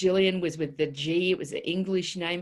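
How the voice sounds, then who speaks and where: In an Australian accent, a woman speaks with a fairly low pitch and monotone, flat intonation. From northwest Queensland, Australia (childhood from about seven). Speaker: body language expert. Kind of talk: interview. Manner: halting with fillers.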